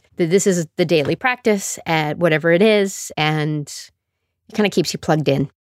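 The voice has a western Canadian accent and lively intonation. The sound is dry and close with no echo, on a very clean recording with a silent background. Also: woman. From Calgary, Alberta, Canada. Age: 50s. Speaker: podcast host, choreographer and performer. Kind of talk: casual self-interview monologue. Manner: animated, playful.

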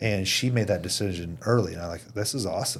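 Somewhat breathy and fairly low-pitched, a man with an American accent speaks with ordinary pitch variation. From Indiana, US Midwest. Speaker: company president. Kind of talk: casual chat.

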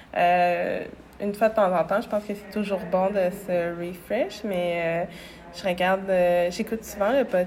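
Speaking at a fairly slow pace, a woman with a Quebec accent keeps her intonation fairly even at a medium pitch. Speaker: clothing brand founder. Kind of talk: interview. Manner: calm, gentle.

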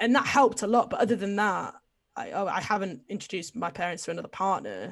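A woman with an English accent speaks at a very fast pace and medium pitch, her lively intonation marked by vocal fry. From England. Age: 20s. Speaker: podcast guest sharing coming-out story. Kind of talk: casual chat. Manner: loud.

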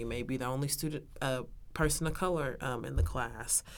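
A woman's very deep, low voice in an American accent, fairly quick, with ordinary pitch variation and audible room echo. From Texas, Arlington. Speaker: university student. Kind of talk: interview.

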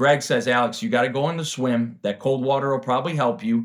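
In a very clean recording with a silent background, a plain, everyday voice goes at a fairly quick pace. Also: man. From Chicago, US Midwest. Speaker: recovering addict and triathlete. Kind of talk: interview testimony.

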